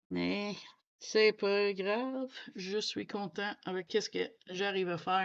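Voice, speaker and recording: A woman talks at a very slow pace with a medium pitch. Her intonation is fairly even, and the background is quiet. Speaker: coloring youtuber. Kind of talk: casual chat. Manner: halting.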